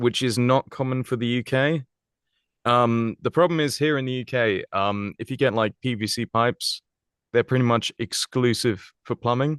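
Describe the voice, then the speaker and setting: In an English accent, a man speaks with ordinary pitch variation in a dry, close sound with no echo over a quiet background. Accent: posh English RP. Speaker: voice actor. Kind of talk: podcast interview.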